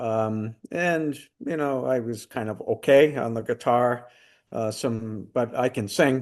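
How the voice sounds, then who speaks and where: At a very slow pace, a man speaks in a medium pitch with ordinary pitch variation. The background is quiet. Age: 70s. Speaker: retired singer, music program creator. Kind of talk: interview. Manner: halting, many fillers.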